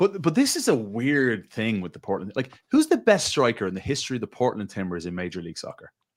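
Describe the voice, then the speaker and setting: A man with a strong Irish accent races along at a very fast pace with hardly any pauses, his medium-pitched voice making very wide pitch swings and big swings in loudness. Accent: thick Irish. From Ireland, Dublin. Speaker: football pundit. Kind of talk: casual chat. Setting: studio.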